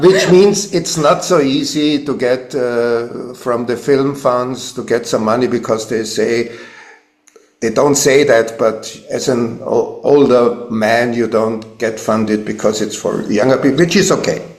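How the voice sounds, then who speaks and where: In a room with audible echo, a man talks fairly slowly, his pitch varying in an ordinary way. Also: medium pitch for a man. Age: 70s. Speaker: filmmaker and musician. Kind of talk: interview. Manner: halting.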